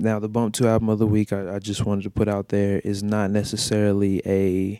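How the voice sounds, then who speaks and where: A man talks at a moderate pace and fairly low pitch. His tone is dark and mellow. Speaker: music podcast host. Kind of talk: casual podcast monologue. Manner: casual, conversational, slangy.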